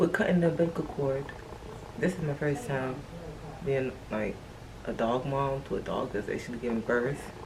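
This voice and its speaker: A woman whispers at a moderate pace. Behind her there is noticeable background noise and audible room echo. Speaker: lifestyle vlogger. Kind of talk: casual vlog. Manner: whispering.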